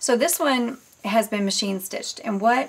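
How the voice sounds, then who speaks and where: A woman with a normal speaking voice, ordinary pitch variation and a moderate pace. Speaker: crafter selling handmade journals. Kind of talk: product show-and-tell tutorial. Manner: casual with many fillers.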